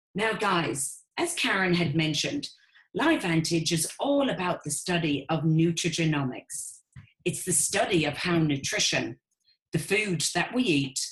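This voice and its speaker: A woman with an Irish accent speaks at a fairly slow pace in a fairly low pitch. Her voice is somewhat breathy, with an enthusiastic tone. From Ireland. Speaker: network marketing business owner. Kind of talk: webinar sales presentation.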